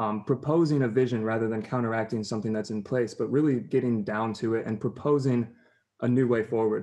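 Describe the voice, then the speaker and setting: This man's voice sits at a medium pitch with a dark, mellow tone and ordinary pitch variation. The background is quiet. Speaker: student activist. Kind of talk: casual chat. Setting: video call. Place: home room. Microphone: video call.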